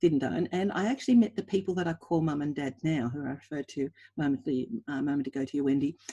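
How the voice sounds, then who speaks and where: In an Australian accent, a woman speaks at a very fast pace with lively intonation. Her voice is very deep and low, with a dark, mellow tone. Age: 60s. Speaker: equine anatomy researcher. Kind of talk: webinar presentation.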